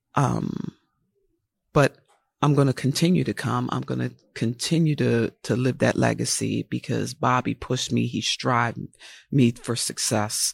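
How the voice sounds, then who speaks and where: A woman with an American accent talks at a fairly slow pace. The sound is dry and close with no echo, and the recording is very clean with a silent background. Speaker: fire captain. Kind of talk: casual chat. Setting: live event with crowd.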